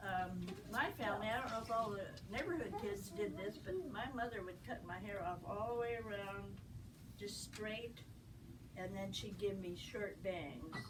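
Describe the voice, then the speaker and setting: There is noticeable background noise behind a woman's voice. She talks at a moderate pace and medium pitch, with ordinary pitch variation. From Bellingham, Washington, USA. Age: 80s+. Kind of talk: telling childhood memories to a first grade class. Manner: simple, gentle talk to young children.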